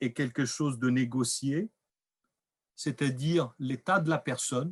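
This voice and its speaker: A man with a fairly high pitch talks at a very slow pace, his pitch varying in an ordinary way. The sound is dry and close with no echo, against a quiet background. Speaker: researcher presenting findings. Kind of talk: lecture. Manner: loud; hesitant.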